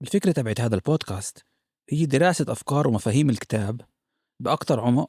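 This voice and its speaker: A man with a normal speaking voice, medium pitch and lively intonation at a moderate pace, in a very clean recording with a silent background and a dry, close sound with no echo. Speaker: podcast host. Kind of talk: podcast introduction.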